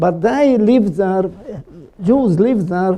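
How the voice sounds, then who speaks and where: A man with a high pitch speaks at a very slow pace with ordinary pitch variation. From Slovakia. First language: Slovak. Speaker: Holocaust survivor and columnist. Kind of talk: talk with audience questions. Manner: halting, many fillers.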